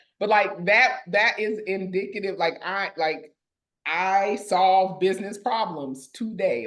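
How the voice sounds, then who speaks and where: This woman has an unremarkable speaking voice, medium in pitch for a woman, and talks at a fairly slow pace. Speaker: podcast host. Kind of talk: casual chat.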